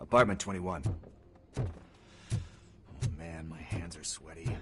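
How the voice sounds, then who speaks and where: Putting on a character voice, a man speaks raspily at a moderate pace, his pitch very deep and low. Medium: video game. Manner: nervous, rambling.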